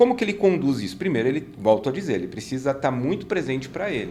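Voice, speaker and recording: Vocal fry runs through a man's fairly high-pitched voice. His pitch swings very widely. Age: 50s. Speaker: business consultant and mentor. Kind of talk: casual chat.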